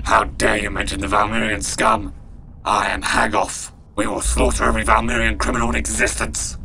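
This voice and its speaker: A man puts on a character voice that is very deep and raspy, talking at a fairly quick pace over clear background noise. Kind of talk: fan film villain acting. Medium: short film. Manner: menacing, formal, furious.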